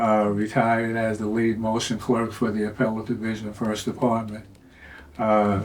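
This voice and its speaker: At a moderate pace, the speaker's intonation stays monotone and flat, with noticeable background noise and audible room echo. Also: man, medium pitch for a man. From New York, Queens. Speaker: retired court clerk. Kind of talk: casual chat. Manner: halting, many fillers.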